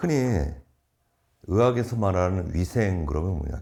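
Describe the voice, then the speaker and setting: At a moderate pace, a man with a very deep, low voice speaks with lively intonation. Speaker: exam prep lecturer. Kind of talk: lecture.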